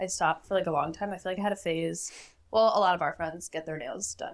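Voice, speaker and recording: Fairly quick and fairly even in intonation, a woman speaks with vocal fry. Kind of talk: casual chat.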